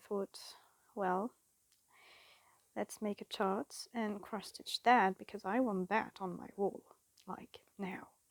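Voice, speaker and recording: A woman's medium-pitched voice, monotone and flat, at a very slow pace in a dry, close sound with no echo. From France. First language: French. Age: 20s. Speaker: cross-stitch vlogger. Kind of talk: casual chat. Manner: halting; awkward.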